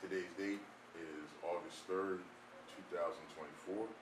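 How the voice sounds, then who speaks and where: The speaker is a man. He goes at a moderate pace. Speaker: archivist, interviewer. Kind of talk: interview questions.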